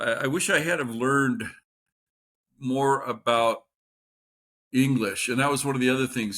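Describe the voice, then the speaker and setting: At a moderate pace and medium pitch, a man speaks in a bright, sharp tone in a very clean recording with a silent background. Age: 60s. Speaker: substitute teacher and channel host. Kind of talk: casual monologue. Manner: conversational with hesitations.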